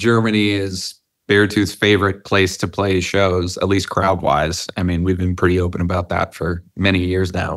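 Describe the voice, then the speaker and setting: Moderate pace and hardly any pauses against a quiet background. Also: man. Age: 30s. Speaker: rock band singer. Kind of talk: interview. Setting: rehearsal warehouse, remote interview. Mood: reflective, candid. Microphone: video call.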